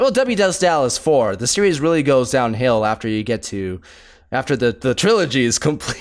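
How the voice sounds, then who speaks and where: A man talks fairly quickly in an ordinary speaking voice. His medium pitch moves with lively intonation. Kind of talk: casual review commentary.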